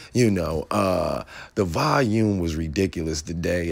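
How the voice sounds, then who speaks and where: With an animated tone, a man speaks at a moderate pace in a very deep, low voice with ordinary pitch variation. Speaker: stock trading YouTuber. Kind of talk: casual vlog commentary.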